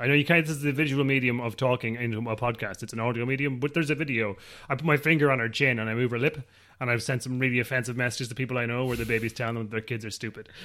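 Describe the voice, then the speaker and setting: A man speaks very fast in a bright, sharp tone, his medium pitch held in fairly even intonation on a very clean recording with a silent background. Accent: Irish. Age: 30s. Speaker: podcast host, new father. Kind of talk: casual chat. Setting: home kitchen.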